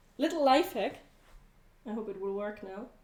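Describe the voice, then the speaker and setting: Her voice has a dark, mellow tone, and the woman speaks with a German accent. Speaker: cooking livestreamer. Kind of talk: casual livestream cooking chat.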